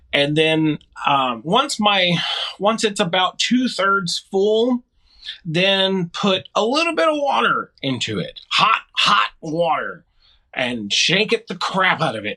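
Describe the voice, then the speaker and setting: A raised, projected male voice, high-pitched and bright and sharp in tone, with very wide pitch swings, a very slow pace, and a dry, close sound with no echo. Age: 40s. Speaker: disc dyer and disc golfer. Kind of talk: casual interview chat.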